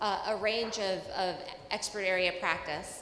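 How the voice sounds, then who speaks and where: A woman with an American accent, audible room echo and noticeable background noise. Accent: American accent noticed by Indian audience. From New York City. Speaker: journalist, panel moderator. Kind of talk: panel moderation. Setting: conference stage with audience. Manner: conversational, some fillers.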